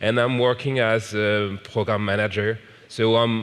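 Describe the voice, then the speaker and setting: A man's fairly low-pitched voice with a French accent. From France. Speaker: software program manager, conference speaker. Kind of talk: conference talk. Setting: stage with audience. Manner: slow.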